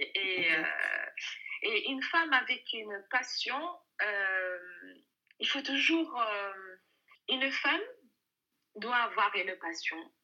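A woman's high-pitched voice has a bright, sharp tone and very wide pitch swings. She speaks very slowly, with long, frequent pauses. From Algeria. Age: 30s. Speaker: working mother. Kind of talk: interview. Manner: hesitant.

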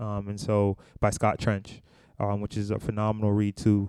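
A man with an American accent, fairly low-pitched, dark and mellow in tone, at a moderate pace. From US Northeast (Brooklyn, New York). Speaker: podcast co-host, finance educator. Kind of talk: casual chat. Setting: recording while traveling in Mexico.

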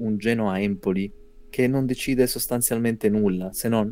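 With a dark, mellow tone, a man speaks at a fairly low pitch. He keeps a moderate pace and a fairly even intonation. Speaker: podcast host. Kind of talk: casual chat. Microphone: poorly recorded voice.

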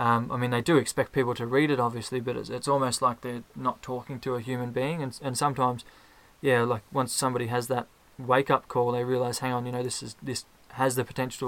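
Talking at a very fast pace with an Australian accent, a man uses a bright, sharp tone and monotone, flat intonation. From Australia (Ballarat, Victoria). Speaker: podcast fan. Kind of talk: casual chat. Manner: halting, many fillers and repeated words.

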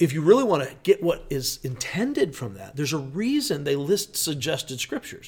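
An animated man at a fairly high pitch and fairly quick pace, with very wide pitch swings and big swings in loudness, on a very clean recording with a silent background. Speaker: pastor. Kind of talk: casual chat.

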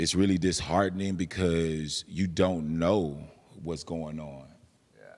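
A man with an American accent speaks at a very deep, low pitch with monotone, flat intonation. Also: fairly slow pace. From San Antonio, Texas. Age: 30s. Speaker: juice bar owner. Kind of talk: casual chat. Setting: venue with production team.

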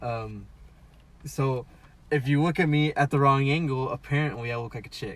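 A man with a fairly high, somewhat breathy voice talks at a moderate pace, keeping his intonation fairly even and pausing long and often. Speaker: podcast co-host. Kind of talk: casual chat. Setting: in a car.

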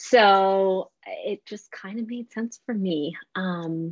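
An ordinary speaking voice with a Canadian accent carries ordinary pitch variation. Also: woman. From Canada, Vancouver. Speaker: dietitian. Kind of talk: interview.

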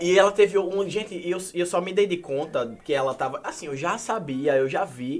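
With noticeable background noise behind him, a man speaks at a moderate pace with lively intonation. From Paraíba, Brazil. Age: 20s. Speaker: social media influencer. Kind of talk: casual chat.

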